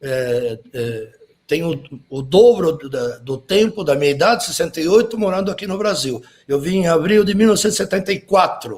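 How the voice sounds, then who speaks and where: A man with a Spanish accent, high in pitch, at a moderate pace, with very wide pitch swings. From Uruguay, Montevideo. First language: Spanish (speaking Portuguese). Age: 60s. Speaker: graphic designer, typographer. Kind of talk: interview.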